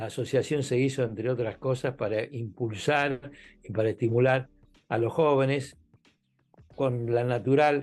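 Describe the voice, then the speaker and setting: A man's medium-pitched voice at a fairly slow pace, with fairly even intonation, long and frequent pauses, and music in the background. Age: 80s+. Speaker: law professor. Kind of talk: interview. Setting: podcast recording.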